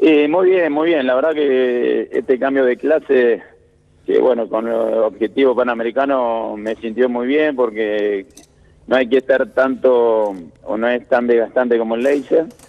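In an ordinary speaking voice, a man talks at a fairly slow pace with a medium pitch and ordinary pitch variation. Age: 30s. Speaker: Olympic sailor. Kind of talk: interview.

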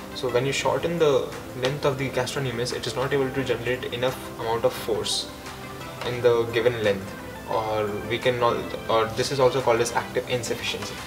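Over clear background music, a man speaks at a fairly quick pace with fairly even intonation. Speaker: fitness coach. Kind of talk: tutorial. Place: gym.

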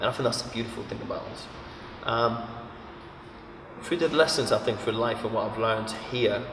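A man talks at a fairly quick pace with fairly even intonation. Noticeable background noise runs underneath. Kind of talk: interview answer. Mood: reflective, earnest.

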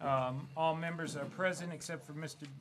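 Light background noise accompanies a man speaking with fairly even intonation. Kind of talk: formal meeting procedure, reading agenda. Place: meeting room. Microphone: podium.

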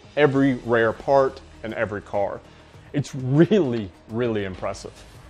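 A man talks at a fairly slow pace with ordinary pitch variation while faint music plays in the background. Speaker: garage tour host. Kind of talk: casual tour commentary. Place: garage.

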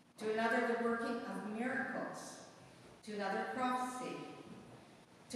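A woman speaks at a moderate pace in a room with strong echo and light background noise. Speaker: lay reader at mass. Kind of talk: scripture reading. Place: church. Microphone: camera far.

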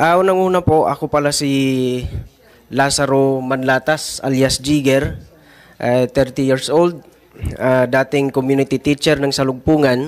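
Fairly high in pitch, a man speaks at a fairly slow pace with fairly even intonation. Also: very even loudness. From Mindanao (Talaingod, Davao del Norte); Davao del Norte. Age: 30s. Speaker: former community teacher. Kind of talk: testimony at a hearing. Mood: earnest, measured. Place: hall. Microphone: podium.

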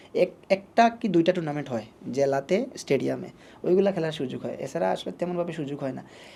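Ordinary pitch variation marks this man's speech, pitched fairly high with a dark, mellow tone. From Bangladesh, Sylhet (Moulvibazar). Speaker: tape tennis cricketer. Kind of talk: interview.

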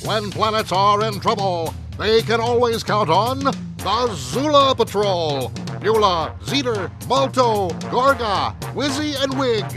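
A man's high-pitched voice, very slow, with very wide pitch swings over background music. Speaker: voice actor. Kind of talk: movie trailer.

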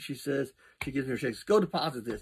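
Light background noise sits under a man talking at a very fast pace. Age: 50s. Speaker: fitness vlogger. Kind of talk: casual vlog monologue. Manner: halting, many fillers. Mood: cheerful, joking. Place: home room. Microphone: phone near.

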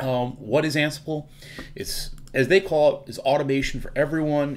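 At a moderate pace, a man talks. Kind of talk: tutorial.

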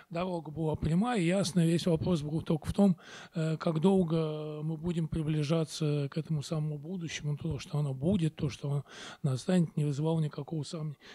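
Speaking at a fairly quick pace, a man has a fairly high pitch and a dark, mellow tone. His intonation is fairly even, and the background is quiet. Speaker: architect. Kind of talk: conference talk. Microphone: handheld.

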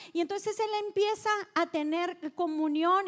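A woman's extremely high-pitched voice, fairly even in intonation, at a fairly slow pace over a quiet background. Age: 40s. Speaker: pastor. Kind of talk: sermon. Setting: church. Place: stage. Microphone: handheld.

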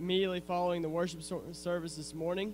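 A man speaks at a fairly quick pace with monotone, flat intonation. Noticeable background noise is present. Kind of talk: church announcements. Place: church. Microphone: handheld.

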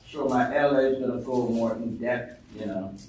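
A man is speaking. There is audible room echo. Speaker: church elder. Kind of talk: reading aloud. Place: meeting room.

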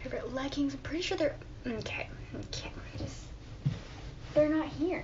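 Room echo is audible. The pace is moderate. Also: woman, high pitch for a woman, ordinary pitch variation.

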